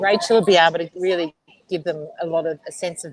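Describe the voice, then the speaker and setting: Talking at a fairly quick pace in an Australian accent, a woman holds a medium pitch with ordinary pitch variation. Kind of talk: casual chat.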